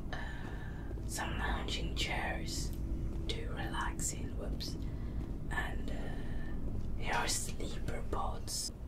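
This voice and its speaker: Over noticeable background noise, someone whispers at a very slow pace. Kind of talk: ASMR game tour, relaxed casual narration. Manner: soft-spoken, relaxed, conversational.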